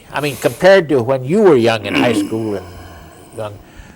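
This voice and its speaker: The pitch swings very widely at a fairly quick pace. Noticeable background noise sits behind the voice. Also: man. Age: 80s+. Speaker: interviewer, war veteran. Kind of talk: oral history interview.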